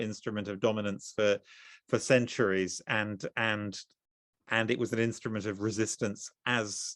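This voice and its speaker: The speaker uses a plain, everyday voice, moving at a moderate pace with fairly even intonation. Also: man. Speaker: novelist. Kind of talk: conversation.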